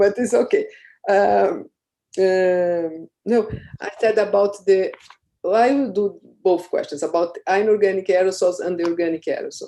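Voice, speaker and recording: A Portuguese accent colors the speech. It moves at a moderate speed. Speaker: thesis examiner. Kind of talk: academic questioning. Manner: halting.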